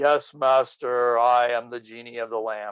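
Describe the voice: A loud, booming put-on character voice from a man, medium in pitch, monotone and flat, at a moderate pace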